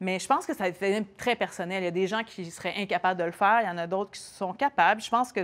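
Ordinary pitch variation and a fairly quick pace from a woman. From Quebec. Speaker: TV host, motorcyclist guest; TV host, guest. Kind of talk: casual chat. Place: shop.

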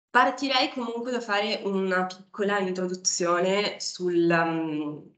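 A woman speaks at a very slow pace with a fairly low pitch and ordinary pitch variation. Her voice carries audible room echo against a quiet background. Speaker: PhD student. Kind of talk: academic talk. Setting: stage with audience. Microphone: video call.

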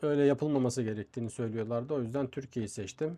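A man with a dark, mellow tone speaks at a medium pitch with ordinary pitch variation against a quiet background. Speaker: YouTuber. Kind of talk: vlog.

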